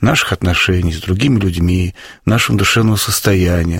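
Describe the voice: At a fairly quick pace, the voice has a fairly bright tone, vocal fry and a slightly husky edge. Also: man.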